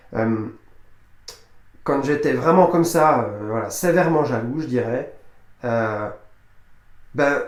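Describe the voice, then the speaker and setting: Very slow speech broken by long, frequent pauses, with audible room echo and noticeable background noise. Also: man, fairly high pitch for a man, ordinary pitch variation. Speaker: personal development coach. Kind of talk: motivational talk to camera. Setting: speaking to camera. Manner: hesitant, many fillers and repetitions.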